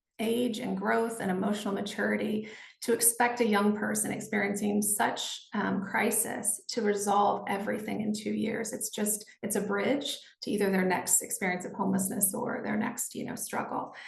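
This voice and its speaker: Speaking at a moderate pace, a woman uses a medium pitch with vocal fry. Her intonation is monotone and flat, and the room gives an audible echo. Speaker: nonprofit executive director. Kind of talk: panel discussion. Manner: hesitant, many fillers.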